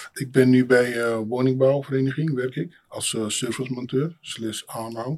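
Using an unremarkable speaking voice, the man holds a medium pitch and fairly even intonation, moving at a moderate pace. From Amsterdam city centre, born in Suriname. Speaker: building maintenance technician. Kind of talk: casual interview conversation.

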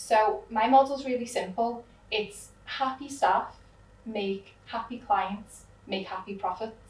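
A woman speaks at a fairly slow pace with fairly even intonation. Noticeable background noise sits behind her. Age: 30s. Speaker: law firm owner. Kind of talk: interview conversation.

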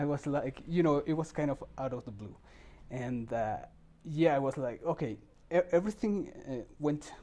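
Here a man speaks in a Spanish accent at a fairly high pitch. His tone is dark and mellow, with ordinary pitch variation. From Mexico, Puebla. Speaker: summer camp staff member. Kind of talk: interview. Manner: halting.

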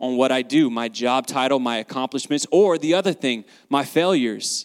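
With a Southern US accent, a man talks at a fairly quick pace and a medium pitch. His tone is animated, and his pitch variation is ordinary. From US South, North Carolina. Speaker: guest sharing faith testimony. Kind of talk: testimony.

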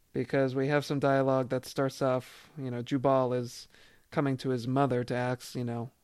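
Simply a natural reading voice.

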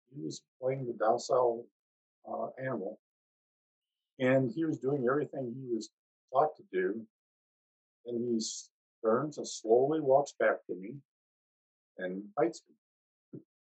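At a fairly slow pace, a man with an American accent speaks at a medium pitch with ordinary pitch variation, big swings in loudness and long, frequent pauses. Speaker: war veteran. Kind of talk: testimony. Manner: halting.

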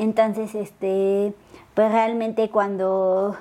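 Very slowly, a woman delivers her words with fairly even intonation. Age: 30s. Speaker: athlete with a spinal cord injury. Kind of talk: interview, personal testimony. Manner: hesitant, many fillers.

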